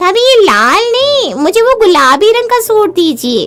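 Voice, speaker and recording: A cartoonish character voice with a bubbly tone moves at a moderate pace and very even loudness. Faint music plays in the background. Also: woman, extremely high pitch for a woman. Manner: bubbly, wheedling.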